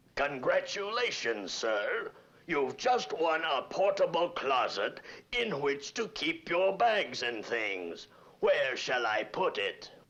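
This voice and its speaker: A man puts on a cartoonish character voice. He talks at a fairly slow pace. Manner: sly, gruff.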